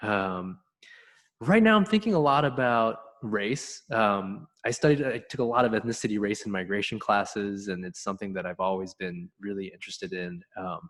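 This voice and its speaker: The pace is moderate. Pitch moves up and down in an ordinary way. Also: man, fairly low pitch for a man. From Korea, moved to US at six. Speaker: musician. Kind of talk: presentation talk. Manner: halting, many fillers.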